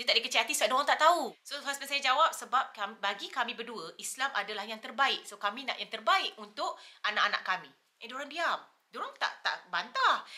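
A woman speaks very fast in a high, raised, projected voice, her intonation lively and her loudness swinging widely. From Malaysia. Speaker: YouTuber. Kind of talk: casual chat. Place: home room. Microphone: camera far.

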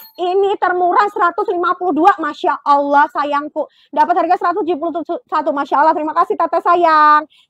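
Over music in the background, the voice comes across dry with no echo, fairly even in intonation and at a fairly slow pace. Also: woman, extremely high pitch for a woman. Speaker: live-selling fashion seller. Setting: online live selling stream. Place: shop. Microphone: lapel.

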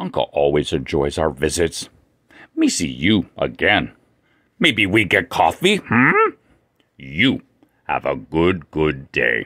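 A man puts on a character voice with a very deep, low pitch. He speaks fairly slowly, with long, frequent pauses. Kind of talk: comedic weather report. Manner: broken caveman speech.

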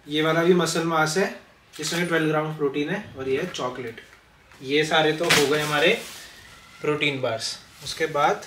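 Through noticeable background noise, a man talks at a moderate pace with fairly even intonation and long, frequent pauses. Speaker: fitness vlogger. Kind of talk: casual vlog chat. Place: home room. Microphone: camera far.

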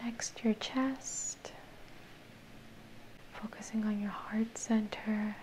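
A woman whispers at a very slow pace.

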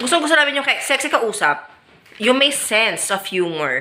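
Noticeable background noise sits behind a woman with an animated tone. She keeps a moderate pace while her pitch swings very widely. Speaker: vlogger. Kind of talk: scripted casual monologue.

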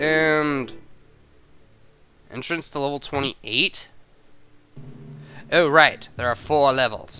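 Over music in the background, a man with a fairly high pitch speaks at a very slow pace with long, frequent pauses and fairly even intonation. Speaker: let's play gamer. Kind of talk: casual gameplay commentary.

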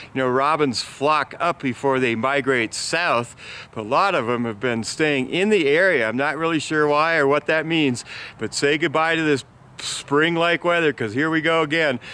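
In a dry sound with no echo, a man with a bright, sharp tone talks at a moderate pace with ordinary pitch variation. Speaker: local news vlogger. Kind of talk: casual vlog news report. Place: open country. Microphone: phone near.

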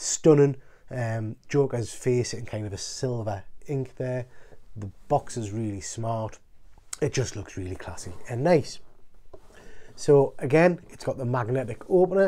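Speaking at a fairly slow pace with long, frequent pauses, a man uses lively intonation and big swings in loudness. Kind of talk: casual unboxing commentary. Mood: excited, admiring. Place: home room. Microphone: phone near.

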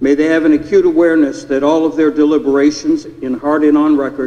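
Speaking in a flat monotone, a man moves at a fairly quick pace. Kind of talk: public prayer. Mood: solemn, reverent. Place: hall. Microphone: podium.

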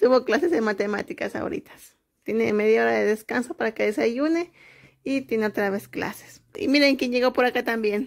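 With quiet surroundings, a woman talks. Her pace is moderate and her pitch variation ordinary. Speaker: mother vlogger. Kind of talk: casual vlog chat. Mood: relaxed, playful. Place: home room. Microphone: phone near.

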